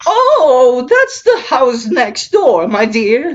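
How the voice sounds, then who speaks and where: A high-pitched put-on character voice at a very slow pace. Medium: actual play. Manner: sweet, affectionate.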